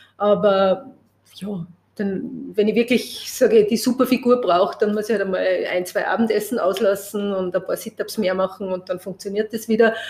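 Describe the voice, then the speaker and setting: Speaking in an ordinary speaking voice, this woman keeps a medium pitch, a moderate speed and fairly even intonation. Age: 50s. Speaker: press photographer. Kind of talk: interview conversation.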